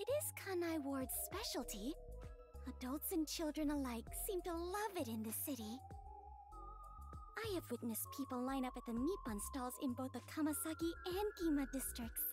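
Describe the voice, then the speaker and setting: A put-on character voice moves at a moderate pace over loud background music. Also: female-sounding voice. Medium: solo performance. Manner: snarky, possessive.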